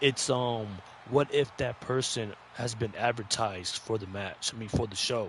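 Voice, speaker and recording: At a medium pitch and moderate pace, a man speaks in a somewhat breathy voice with fairly even intonation and big swings in loudness. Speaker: wrestling podcast co-host. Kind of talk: casual chat. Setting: live stream. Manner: halting.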